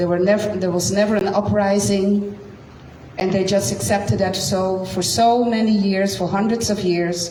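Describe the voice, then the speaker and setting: A woman with a Dutch accent talks at a fairly slow pace and medium pitch. Noticeable background noise and audible room echo are present. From Netherlands. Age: 50s. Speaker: science teacher and speaker. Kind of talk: personal testimony at community talk. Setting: community gathering with live audience.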